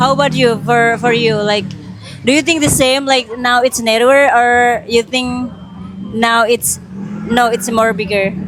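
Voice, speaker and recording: A woman talks fairly slowly in an Indonesian accent, at a fairly high pitch. Her loudness is very even, with crowd noise in the background. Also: ordinary pitch variation. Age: 30s. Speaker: podcast host. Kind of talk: casual chat.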